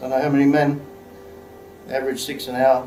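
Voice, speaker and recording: A man's voice with audible room echo and music in the background. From Australia. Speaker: actor. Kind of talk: dramatic monologue, film scene demo. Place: studio.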